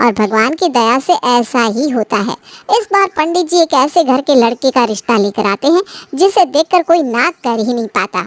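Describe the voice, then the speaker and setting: In a cartoonish character voice, a woman talks at a fairly quick pace with a high pitch and very wide pitch swings, the sound dry and close with no echo. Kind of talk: bedtime story. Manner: smooth, steady narration.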